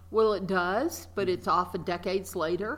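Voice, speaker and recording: A woman with a Mississippi accent speaks at a moderate pace, her bright, sharp tone edged with vocal fry. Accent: Southern US (Mississippi). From US South, rural Mississippi. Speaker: arts nonprofit director. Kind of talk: interview.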